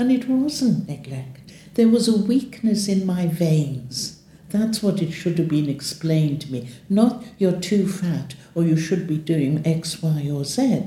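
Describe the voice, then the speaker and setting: A woman's fairly low, somewhat breathy voice with a dark, mellow tone, in a British accent. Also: lively intonation, fairly slow pace. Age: 80s+. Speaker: leg ulcer patient. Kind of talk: testimony.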